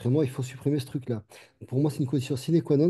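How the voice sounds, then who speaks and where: A man talks at a medium pitch in a somewhat breathy voice with a dark, mellow tone and fairly even intonation. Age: 60s. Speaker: doctor. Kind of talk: panel discussion. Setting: webinar video call.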